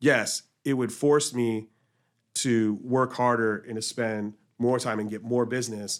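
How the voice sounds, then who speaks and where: On a very clean recording with a silent background, a man of medium pitch speaks in a monotone, flat intonation with long, frequent pauses. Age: 40s. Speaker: podcast host. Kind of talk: casual chat.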